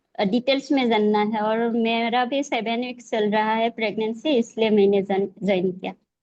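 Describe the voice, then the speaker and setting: A woman speaks in an unremarkable speaking voice, pitched fairly high. She hardly pauses at all. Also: fairly even intonation. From Assam, India. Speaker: yoga trainer. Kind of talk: self-introduction in webinar.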